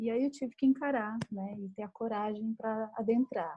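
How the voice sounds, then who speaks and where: Somewhat breathy and dark, mellow in tone, a woman with a fairly high pitch speaks at a fairly slow pace and with fairly even intonation. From Brazil, Minas Gerais. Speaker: writer and screenwriter. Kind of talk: casual chat.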